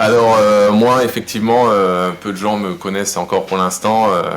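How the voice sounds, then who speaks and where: Against noticeable background noise, a man with a fairly low pitch speaks at a fairly slow pace. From Alsace, France. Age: 40s. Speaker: helicopter pilot and rum brand founder. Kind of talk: interview. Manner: hesitant, many fillers.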